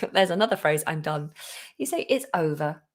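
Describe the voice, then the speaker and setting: At a fairly low pitch, a woman speaks with a British accent. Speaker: English teacher. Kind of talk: live online lesson. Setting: live stream.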